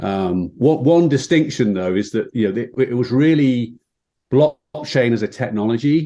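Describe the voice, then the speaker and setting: Speaking with a British accent at a moderate pace, a man has a medium-pitched voice with a dark, mellow tone against a quiet background. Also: lively intonation. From England, Midlands. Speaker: fintech executive. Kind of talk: interview.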